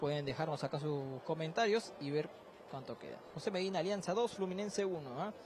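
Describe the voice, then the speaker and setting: Noticeable background noise in a dry sound with no echo. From Peru. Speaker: sports reporter. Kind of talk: live street reporting and fan interviews. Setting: outdoors outside a stadium among fans. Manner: fast, animated. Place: street. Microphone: handheld.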